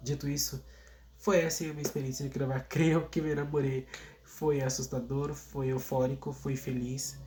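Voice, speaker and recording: A man's medium-pitched, somewhat breathy voice with a dark, mellow tone, monotone, flat intonation and a moderate pace. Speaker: singer and YouTuber. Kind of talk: vlog monologue. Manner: casual, hesitant with repetitions.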